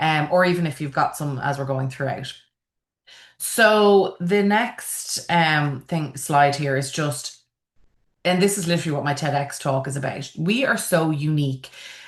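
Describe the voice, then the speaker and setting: This woman has a very deep, low voice and an Irish accent. She talks at a fairly slow pace with ordinary pitch variation against a quiet background. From Ireland, Dublin. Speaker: funeral celebrant and event planner. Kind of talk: online conference presentation. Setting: video call.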